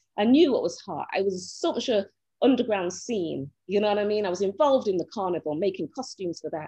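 Lively intonation in a Mancunian accent at a fairly quick pace, over a quiet background. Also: woman, medium pitch for a woman. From Manchester, northern England. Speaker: actress. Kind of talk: casual chat.

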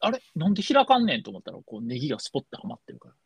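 The pitch swings very widely as the speech runs at a very fast pace. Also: man, dry, close sound with no echo. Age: 40s. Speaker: podcast co-host. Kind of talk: casual chat.

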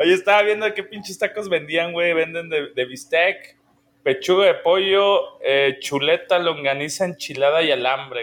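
A man with a Mexican accent speaks at a fairly slow pace and a high pitch. His pitch variation is ordinary, while his loudness swings a lot. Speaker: podcast co-host. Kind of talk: casual chat.

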